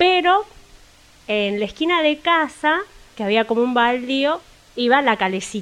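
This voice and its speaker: A woman with a high pitch talks at a fairly slow pace, her pitch swinging very widely between long, frequent pauses. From Buenos Aires, Argentina. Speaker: actress. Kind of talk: casual chat.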